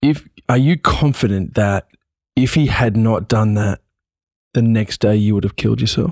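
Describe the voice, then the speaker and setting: Speaking with an Australian accent, a man with a fairly low voice keeps a moderate pace, ordinary pitch variation and very even loudness, with long, frequent pauses in a dry, close sound with no echo. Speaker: podcast host. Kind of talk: interview.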